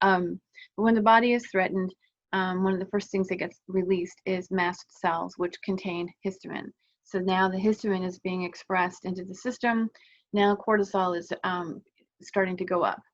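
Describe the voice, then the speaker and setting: Speaking at a medium pitch, a woman keeps to a monotone, flat intonation. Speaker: wellness vlogger. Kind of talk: casual talking-head explainer. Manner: fast; halting, many fillers.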